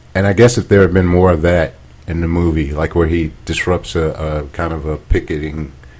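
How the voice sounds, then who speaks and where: At a moderate pace, the speaker talks with an American accent and fairly even intonation over noticeable background noise. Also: man, very deep, low pitch for a man. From US South. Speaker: podcast co-host. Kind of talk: casual chat. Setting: home dining room.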